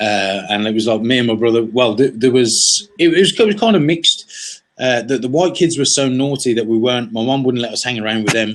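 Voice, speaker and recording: With an English accent, a man talks at a fairly quick pace in a medium pitch, with ordinary pitch variation and hardly any pauses. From West of Ireland, then England from age eight. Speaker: entrepreneur. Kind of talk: interview. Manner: halting, many fillers and repeats; casual.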